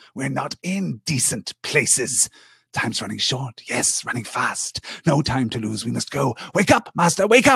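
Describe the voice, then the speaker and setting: This put-on character voice hisses and makes very wide pitch swings. It moves at a moderate pace. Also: man, medium pitch for a man. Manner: hissing, urgent.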